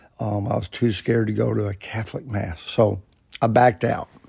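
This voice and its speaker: A man talks at a medium pitch and moderate pace with fairly even intonation. His tone is dark and mellow. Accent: Alabama. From US South, Alabama (Birmingham area). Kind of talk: personal storytelling monologue. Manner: casual, folksy.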